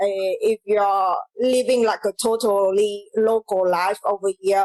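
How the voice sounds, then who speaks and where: A woman with a Vietnamese accent speaks at a medium pitch, her intonation flat and monotone. Her loudness stays very even, and the sound is dry and close with no echo. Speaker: comedian. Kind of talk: casual chat. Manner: halting.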